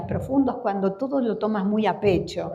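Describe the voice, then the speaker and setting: A woman's fairly high voice in an Argentine accent, with audible room echo and noticeable background noise. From Argentina. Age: 60s. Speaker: floral therapy teacher. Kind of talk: conference talk. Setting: conference hall with audience.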